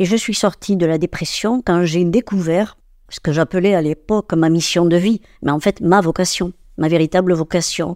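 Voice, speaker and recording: A woman talks at a moderate pace with a fairly low pitch and a dark, mellow tone. Her intonation is fairly even, and the sound is dry and close with no echo. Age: 70s. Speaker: retired holistic therapist and medium. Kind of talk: interview. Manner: halting.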